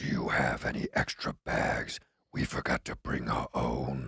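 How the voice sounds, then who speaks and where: A man uses a put-on character voice, raspy and very deep. He talks at a moderate pace. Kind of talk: Shakespearean, theatrical. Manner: mundane line in demonic voice.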